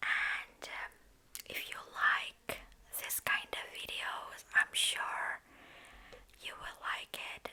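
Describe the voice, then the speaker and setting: The whispering moves at a very slow pace and is broken by long, frequent pauses. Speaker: ASMR creator. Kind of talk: casual talk to camera. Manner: soft-spoken, whispered.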